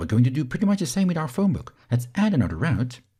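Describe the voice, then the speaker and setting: With a Flemish accent, the voice has vocal fry, very wide pitch swings and a dark, mellow tone. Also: man. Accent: Belgian Dutch (Flemish) accent in English. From Belgium. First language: Dutch. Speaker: software instructor. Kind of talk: tutorial.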